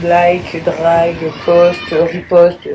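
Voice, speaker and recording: A woman's fairly low voice, with audible room echo and noticeable background noise. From France. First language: English (speaking French). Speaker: influencer. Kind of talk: casual vlog monologue. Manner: hesitant, many fillers.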